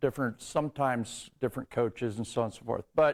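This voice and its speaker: A man's medium-pitched voice in a Midwestern American accent, with ordinary pitch variation, on a very clean recording with a silent background. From northern Indiana, US Midwest. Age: 60s. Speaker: athletic trainer. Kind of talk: conference talk. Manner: halting, many fillers.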